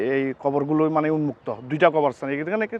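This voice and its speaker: A man is speaking. His pitch sits fairly high. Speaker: family graveyard owner. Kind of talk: on-site interview. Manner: halting.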